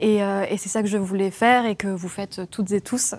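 The speaker has a plain, everyday voice and fairly even intonation. The pace is fairly quick. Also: woman. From France. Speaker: podcaster. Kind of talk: panel discussion.

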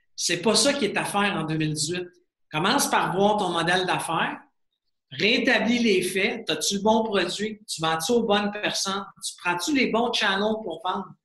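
A man uses a raised, projected voice with a high pitch and ordinary pitch variation. His pace is fairly slow. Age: 40s. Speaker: serial entrepreneur. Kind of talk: interview. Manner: animated.

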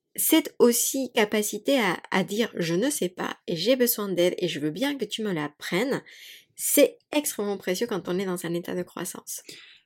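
A woman speaks with a Spanish accent. Her tone is animated, with very wide pitch swings. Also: very clean recording, silent background. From Mexico. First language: Spanish (speaking French). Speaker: yoga teacher and podcaster. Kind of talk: casual chat.

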